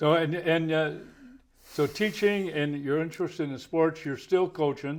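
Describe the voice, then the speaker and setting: A man with an ordinary speaking voice, fairly high pitch, fairly even intonation and a fairly slow pace. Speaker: interview host. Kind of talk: conversational interview questions.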